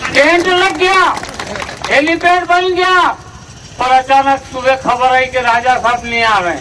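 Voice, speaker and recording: Over noticeable background noise, a man projects a raised voice at an extremely high pitch, with lively intonation and long, frequent pauses. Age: 70s. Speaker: politician. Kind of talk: political rally speech.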